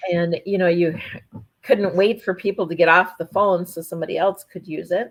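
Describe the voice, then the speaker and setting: A woman with an Upper Midwest accent speaks at a moderate pace, medium in pitch with fairly even intonation. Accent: Upper Midwest American. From North Dakota. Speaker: ranch wife and administrative assistant. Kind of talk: casual interview chat.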